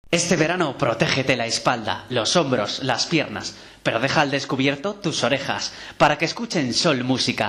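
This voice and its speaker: Noticeable background noise sits under a man's fairly high voice. He keeps a moderate pace with lively intonation. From Spain. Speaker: voice actor. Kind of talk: radio promo read.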